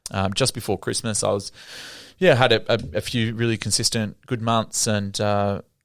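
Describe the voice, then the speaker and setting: A man talks at a moderate pace with an Australian accent, on a very clean recording with a silent background. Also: fairly even intonation. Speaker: cafe business owner. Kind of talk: casual interview chat. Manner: halting, many fillers and restarts.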